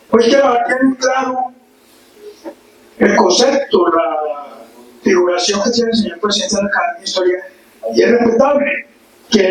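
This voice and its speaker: A man talks at a moderate pace with a high pitch. Background noise is noticeable. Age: 80s+. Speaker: local historian and author. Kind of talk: forum talk.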